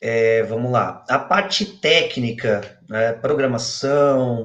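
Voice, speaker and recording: A man's medium-pitched voice rises and falls with ordinary variation. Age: 20s. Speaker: SEO specialist. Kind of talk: online interview, technical explanation.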